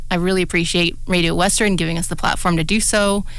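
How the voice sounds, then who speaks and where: The speech moves at a fairly quick pace in a monotone with flat intonation. Room echo is audible. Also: woman. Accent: Canadian. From southwestern Ontario, Canada. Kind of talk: radio talk show, casual chat. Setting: radio studio.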